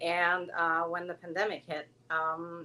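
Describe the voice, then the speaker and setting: A woman with a Norwegian accent and a fairly low pitch. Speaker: dog groomer and salon owner. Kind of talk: live stream interview. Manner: hesitant with many fillers.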